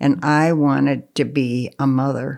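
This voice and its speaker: In a very clean recording with a silent background, a woman with an American accent speaks very slowly in a very deep, low pitch. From Pennsylvania, US. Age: 80s+. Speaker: grandmother interviewee. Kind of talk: life story interview. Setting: at her home.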